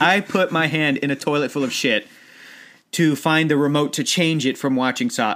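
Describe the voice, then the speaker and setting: In a very clean recording with a silent background, a man talks at a moderate pace and a fairly high pitch, his tone bright, sharp and animated. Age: 30s. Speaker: podcast host. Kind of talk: casual chat. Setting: studio.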